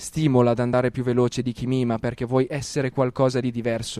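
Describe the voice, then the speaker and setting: At a very fast pace, a man speaks with medium pitch in a dry, close sound with no echo. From Lombardy, Italy. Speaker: rapper and slam poet. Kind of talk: spoken word poetry.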